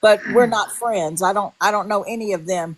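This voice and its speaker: Against a quiet background, a woman speaks in a normal speaking voice at a medium pitch. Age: 60s. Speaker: livestream participant. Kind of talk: heated livestream chat.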